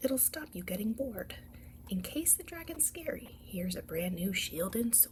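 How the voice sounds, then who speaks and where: A soft-spoken woman at a fairly slow pace, with very wide pitch swings and big swings in loudness. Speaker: ASMR storyteller. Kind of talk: bedtime story read-aloud.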